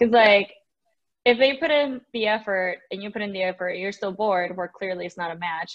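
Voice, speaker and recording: A woman speaks fairly quickly, with only a quiet background behind her. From Mexico. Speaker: podcast guest, raver. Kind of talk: casual chat.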